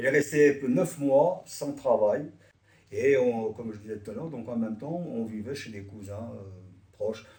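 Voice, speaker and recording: Somewhat breathy, a man speaks at a fairly slow pace with big swings in loudness. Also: medium pitch for a man, ordinary pitch variation. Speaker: immigrant witness. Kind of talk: testimony. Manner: halting.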